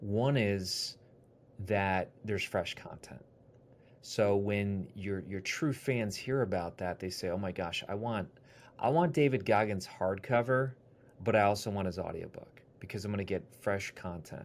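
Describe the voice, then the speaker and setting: A man's fairly low voice at a fairly slow pace, an ordinary speaking voice with ordinary pitch variation. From US Midwest, Wisconsin. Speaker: author and publisher. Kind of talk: interview.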